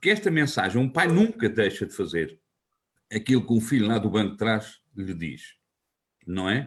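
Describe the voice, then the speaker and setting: At a moderate pace and medium pitch, a man speaks with long, frequent pauses. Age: 60s. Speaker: local politician and teacher. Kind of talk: interview. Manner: halting, with fillers and restarts.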